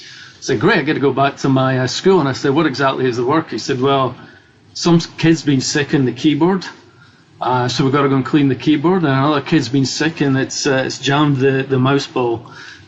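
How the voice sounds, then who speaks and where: This man has a Scottish accent and a fairly high pitch. His intonation stays fairly even as he speaks at a fairly quick pace. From Scotland. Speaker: cybersecurity executive. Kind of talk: interview. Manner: halting.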